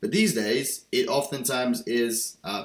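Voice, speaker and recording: His voice is medium in pitch and somewhat breathy, and this man's pitch swings very widely. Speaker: fitness vlogger. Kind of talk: vlog. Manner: hesitant, many fillers.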